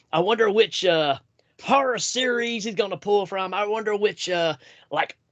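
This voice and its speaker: With a Southern US accent, this man speaks at a high pitch and uses ordinary pitch variation. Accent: Southern US drawl. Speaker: podcast host. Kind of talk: casual chat.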